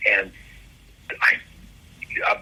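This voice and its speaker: A man speaks against noticeable background noise. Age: 60s. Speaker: comic book artist. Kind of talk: casual interview chat. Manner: halting, repeats words.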